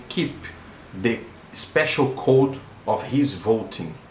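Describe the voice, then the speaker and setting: Against noticeable background noise and audible room echo, a man at medium pitch speaks at a very slow pace. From Brazil. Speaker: electronic engineer. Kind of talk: video monologue / explainer. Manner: halting, with fillers and repetitions.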